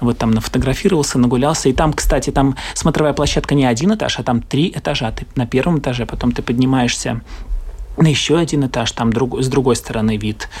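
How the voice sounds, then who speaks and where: A man talking at a very fast pace with ordinary pitch variation over noticeable background noise. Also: medium pitch for a man. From Latvia. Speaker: theatre actor. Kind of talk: casual travel interview.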